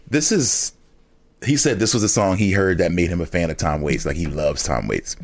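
A man with a very deep, low pitch and vocal fry moves through very wide pitch swings at a fairly quick pace. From Philadelphia. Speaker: rapper. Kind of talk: casual interview chat, with a mock pitchman routine at the end. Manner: animated, playful, jokes in a carnival-barker 'step right up' sales patter.

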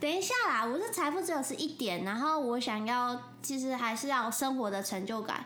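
Lively intonation at a moderate pace, hardly any pauses and very even loudness, with audible room echo and noticeable background noise. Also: woman, high pitch for a woman. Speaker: podcast co-host, real estate agent. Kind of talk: casual chat.

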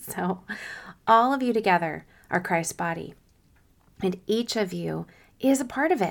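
A woman in a put-on character voice, raspy and at medium pitch, with lively intonation, a moderate pace and long, frequent pauses. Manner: very slow, deliberate.

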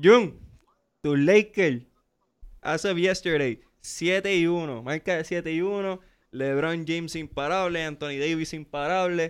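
On a very clean recording with a silent background, a man speaks at a very slow pace in a high pitch with ordinary pitch variation. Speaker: podcast host. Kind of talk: casual sports chat. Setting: studio.

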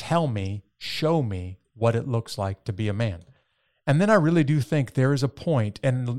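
In a very clean recording with a silent background and a dry, close sound with no echo, a man with an ordinary speaking voice talks at a moderate pace, at medium pitch with ordinary pitch variation. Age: 50s. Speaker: podcast host. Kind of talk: interview podcast.

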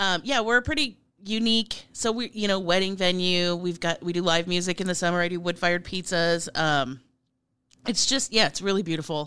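A woman speaks at a fairly quick pace with an American accent against a quiet background. Her medium-pitched voice has a bright, sharp tone and ordinary pitch variation. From Nebraska, US Midwest. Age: 40s. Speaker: chef and political candidate. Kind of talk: interview.

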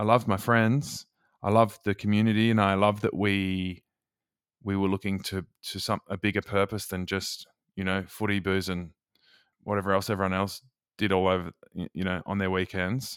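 A man's fairly low, monotone, flat voice in an Australian accent, with long, frequent pauses, in a dry, close, very clean recording with a silent background and no echo. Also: moderate pace. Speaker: author and former youth radio host. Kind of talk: interview.

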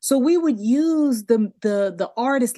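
The woman speaks with an American accent. Her delivery is fairly slow, with lively intonation. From US, Delaware. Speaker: TV producer and skincare entrepreneur. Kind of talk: interview conversation.

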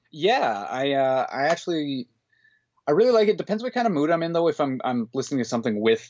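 Fairly high-pitched male voice at a fairly quick pace, with very wide pitch swings. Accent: western Canadian. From northern Alberta, Canada. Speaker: book collector. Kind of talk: casual chat. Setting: remote call.

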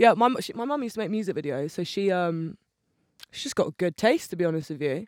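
A woman speaks with ordinary pitch variation in a dry, close recording with no echo. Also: very clean recording, silent background. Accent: Bristol. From England, Bristol. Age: 20s. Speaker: musician. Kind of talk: casual chat.

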